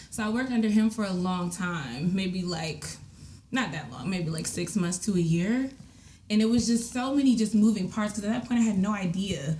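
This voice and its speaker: In an American accent, a woman speaks at a moderate pace and medium pitch with lively intonation, audible room echo and noticeable background noise. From DMV area (Washington DC region), US. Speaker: live event producer. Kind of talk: casual interview chat. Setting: home basement podcast studio. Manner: animated, filler-heavy.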